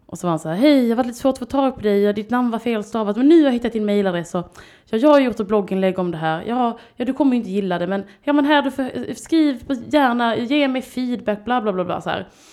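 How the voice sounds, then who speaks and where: A woman with a Scanian accent speaks at a very fast pace. Her dark, mellow voice sits fairly high and moves with lively intonation. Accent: Skåne dialect. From southern Sweden (Skåne). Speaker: artist and children's TV presenter. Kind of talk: casual chat.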